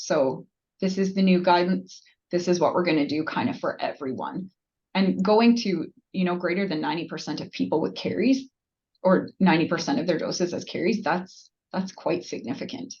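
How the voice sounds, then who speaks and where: A woman with vocal fry talks at a moderate pace in a medium pitch, her intonation lively. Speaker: nurse practitioner presenter. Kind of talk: webinar Q&A.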